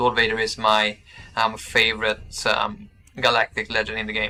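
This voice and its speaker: The speaker is a man with a Swedish accent. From Sweden. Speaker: gaming streamer. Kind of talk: live stream chat with viewers. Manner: halting, many fillers.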